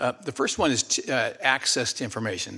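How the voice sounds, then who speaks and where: A man's voice with a bright, sharp tone. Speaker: retired general and former diplomat. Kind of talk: formal testimony, conversational. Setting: Senate hearing room.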